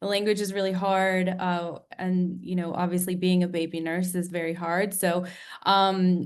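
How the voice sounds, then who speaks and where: A woman speaks at medium pitch with an American accent. Her intonation is monotone and flat, with audible room echo. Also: moderate pace. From United States. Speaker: nurse turned health tech founder. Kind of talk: interview on webinar. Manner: many filler ums.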